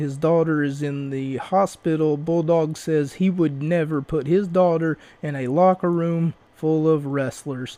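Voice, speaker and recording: A man's fairly high voice, fairly even in intonation and at a fairly slow pace, with noticeable background noise. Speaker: wrestling podcast host. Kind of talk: casual podcast recap. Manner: fluent, not halting.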